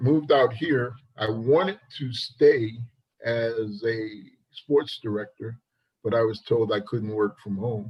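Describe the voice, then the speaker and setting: Somewhat breathy, a man speaks at medium pitch and a fairly slow pace with ordinary pitch variation. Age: 60s. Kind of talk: casual chat.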